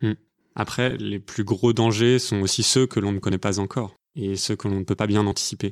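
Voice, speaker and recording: A man talks fairly quickly in a normal speaking voice, fairly low in pitch and fairly even in intonation. The sound is dry and close with no echo, in a very clean recording with a silent background. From France, Paris. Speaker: podcast co-host. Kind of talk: scripted narration.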